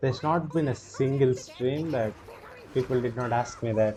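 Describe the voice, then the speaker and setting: With an Indian accent, a man speaks at a medium pitch and a moderate pace, his pitch varying in an ordinary way. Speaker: gaming streamer. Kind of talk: live gameplay commentary. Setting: live stream. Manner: animated.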